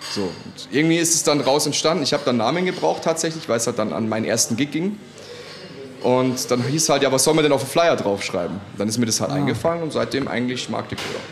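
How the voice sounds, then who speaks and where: With lively intonation and a medium pitch, a man speaks at a very fast pace amid noticeable background noise and audible room echo. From Munich, Bavaria. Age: 30s. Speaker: DJ and music producer. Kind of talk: casual interview. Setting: restaurant.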